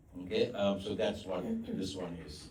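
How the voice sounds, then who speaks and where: A man at a moderate pace, with audible room echo. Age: old. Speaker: psychiatrist giving a talk. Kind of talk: talk with Q&A. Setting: church hall with audience. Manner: loud; halting, many fillers.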